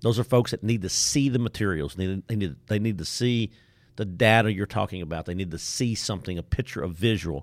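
A man speaks fairly quickly with an East Texas accent and a fairly low pitch. The pitch variation is ordinary, and the sound is dry and close with no echo. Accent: East Texas Southern. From Deep East Texas. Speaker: trainer and facilitator. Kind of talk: casual interview. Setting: studio.

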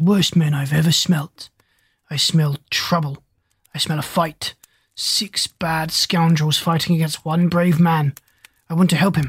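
A growling, put-on character voice at middle pitch, broken by long, frequent pauses. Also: moderate pace.

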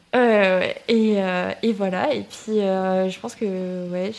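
Against noticeable background noise, a woman talks at medium pitch with fairly even intonation. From southern France, Toulouse area. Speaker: student and content creator. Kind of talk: casual interview chat.

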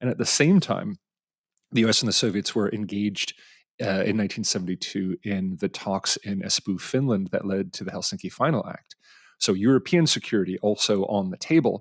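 Recorded dry and close with no echo on a very clean track with a silent background, a man with an American accent and a fairly low pitch speaks at a moderate pace with ordinary pitch variation in an unremarkable speaking voice. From Edison, New Jersey, US. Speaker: podcast host, arms control expert. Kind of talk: interview.

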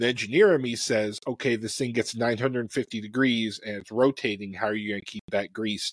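An ordinary speaking voice, a man at medium pitch talks at a moderate pace with fairly even intonation in a dry, close sound with no echo. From US Midwest, Chicago. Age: middle-aged. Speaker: cookbook author and engineer. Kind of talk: casual chat. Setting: online live stream.

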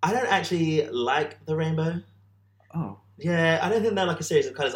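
A man speaks with a British accent. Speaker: podcast co-host. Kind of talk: casual chat. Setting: in person, sharing one microphone.

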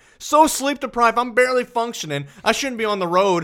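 A man speaks loudly with a high pitch, an animated tone and lively intonation. The recording is very clean, with a silent background. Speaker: football podcast host. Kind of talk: casual chat.

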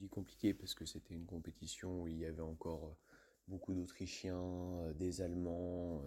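A man speaks at a moderate pace with a very deep, low pitch. His tone is dark and mellow, and his intonation is fairly even. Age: young. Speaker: ski jumper. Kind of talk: interview answers.

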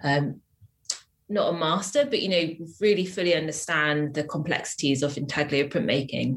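A woman's very deep, low voice in a southern English accent, at a moderate pace with ordinary pitch variation. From England, Wiltshire. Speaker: printmaker. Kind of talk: interview.

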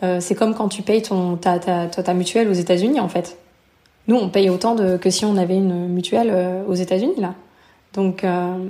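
A woman speaks at a moderate pace and medium pitch. Her tone is dark and mellow, her intonation fairly even. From France, near Lyon. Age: 30s. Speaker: returned expat. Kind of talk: interview testimony.

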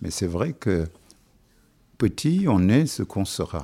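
Speaking at a very slow pace, a man with a fairly low pitch and a dark, mellow tone swings his pitch very widely. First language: Wolof (speaking French). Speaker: musician. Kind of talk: interview.

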